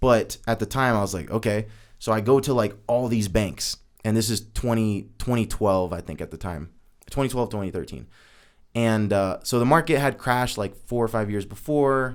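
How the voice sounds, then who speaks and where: A man with an ordinary speaking voice talks at a moderate pace and medium pitch, with ordinary pitch variation, in a very clean recording with a silent background. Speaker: podcast co-host and entrepreneur. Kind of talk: casual chat, personal storytelling. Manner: casual, filler-heavy.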